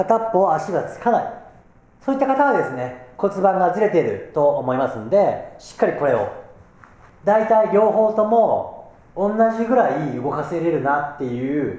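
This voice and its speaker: Fairly slow delivery with big jumps in loudness and audible room echo. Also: man. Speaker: fitness instructor. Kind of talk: tutorial. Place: gym. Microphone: camera far.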